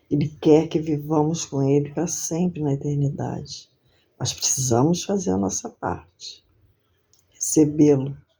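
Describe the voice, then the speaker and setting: A woman's very deep, low voice, somewhat breathy and dark and mellow in tone, with ordinary pitch variation at a fairly slow pace. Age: 60s. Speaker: lay preacher. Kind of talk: sermon; testimony.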